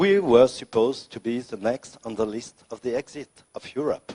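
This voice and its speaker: A man with a French accent at a fairly slow pace, lively in intonation, in a dry, close sound with no echo. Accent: French accent, non-native English. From France, Lyon suburbs. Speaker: senator, politician. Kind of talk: unscripted speech at political debate. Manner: halting, with many fillers.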